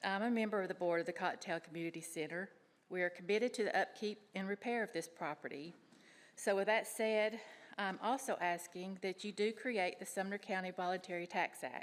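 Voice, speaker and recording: A woman speaks with a Tennessee accent at a fairly quick pace. Her voice is shaky. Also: medium pitch for a woman, ordinary pitch variation. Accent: Tennessee Southern. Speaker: public commenter. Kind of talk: public comment at county meeting. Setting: county commission chambers.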